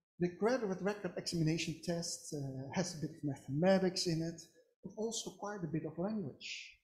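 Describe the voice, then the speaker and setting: A woman's somewhat breathy, fairly low voice with a dark, mellow tone and a Dutch accent, at a fairly quick pace with ordinary pitch variation. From Netherlands. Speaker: psychology academic. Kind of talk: webinar talk.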